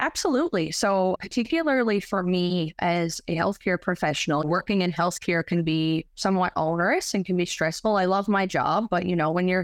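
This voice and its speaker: A woman with a plain, everyday voice speaks at a fairly quick pace and medium pitch with ordinary pitch variation, recorded with a dry, close sound, no echo, and a quiet background. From Newfoundland, Canada. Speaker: photographer and pharmacist. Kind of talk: interview.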